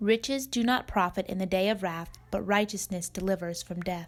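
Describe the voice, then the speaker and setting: A woman talks at a moderate pace in a plain, everyday voice. Her pitch sits in the medium range and varies in an ordinary way. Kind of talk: scripture reading.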